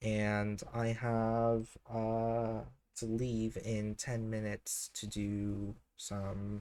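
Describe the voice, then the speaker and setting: A man at medium pitch with a dark, mellow tone, very slow pace and monotone, flat intonation. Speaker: scanlation group founder and translator. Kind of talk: casual chat. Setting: live stream. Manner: halting, many filler sounds.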